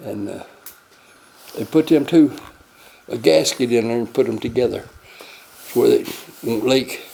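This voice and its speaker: A man's loudness rises and falls sharply as he talks at a moderate tempo, breaking often into long pauses. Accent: Tennessee. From Tennessee. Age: 80s+. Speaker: amateur inventor. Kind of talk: casual chat. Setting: workshop. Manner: halting.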